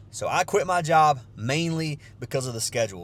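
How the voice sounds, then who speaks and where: A man with a Southern US accent talks with lively intonation. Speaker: sports bettor and vlogger. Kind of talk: casual vlog talk. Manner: casual, with many fillers.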